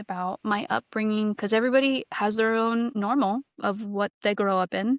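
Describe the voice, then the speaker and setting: In a very clean recording with a silent background and a dry, close sound with no echo, a woman with an American accent and a plain, everyday voice speaks at a moderate pace, her medium pitch showing ordinary variation. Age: 20s. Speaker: podcast guest. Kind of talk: casual interview chat.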